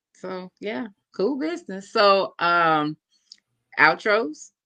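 A man speaks very slowly in a raised, projected voice, with long, frequent pauses. His pitch is high for a man, his tone bright and sharp, and his pitch variation ordinary. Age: 40s. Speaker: podcast host. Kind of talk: casual chat.

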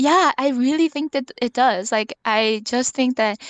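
A woman with an ordinary speaking voice talks at a moderate pace and fairly high pitch with ordinary pitch variation, the sound dry and close with no echo against a quiet background. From Korea until twelve, then North Vancouver, Canada. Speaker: podcast guest. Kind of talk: casual interview.

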